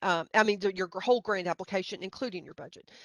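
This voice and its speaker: Recorded with a quiet background, a woman's voice comes across dry and close with no echo. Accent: Middle Tennessee. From Middle Tennessee. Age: middle-aged. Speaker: grant writing trainer. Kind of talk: webinar presentation. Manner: halting, many fillers.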